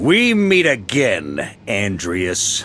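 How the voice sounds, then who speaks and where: This put-on character voice swings very widely in pitch. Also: man. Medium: video game. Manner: hearty, self-assured.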